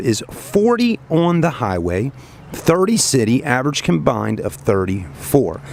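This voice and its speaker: Very wide pitch swings from a man at a moderate pace, with noticeable background noise behind him. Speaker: car salesman presenting a vehicle. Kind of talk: product walkaround tour. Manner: casual, conversational.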